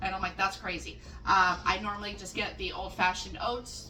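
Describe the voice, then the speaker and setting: A woman talks at a fairly quick pace, with audible room echo and noticeable background noise around her. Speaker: home cook making dog treats. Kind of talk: cooking tutorial. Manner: casual, chatty with fillers.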